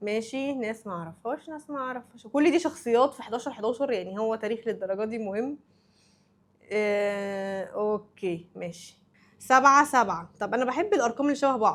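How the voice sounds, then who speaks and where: An animated woman with an Egyptian accent, fairly high in pitch, at a moderate pace, with ordinary pitch variation and big swings in loudness. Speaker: anime YouTuber. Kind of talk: casual vlog commentary.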